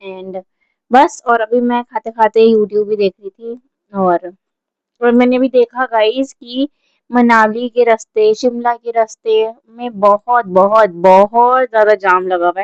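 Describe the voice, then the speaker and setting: Fairly high in pitch with fairly even intonation, a woman's voice comes through dry and close, with no echo. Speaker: vlogger. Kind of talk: casual vlog talk. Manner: loud.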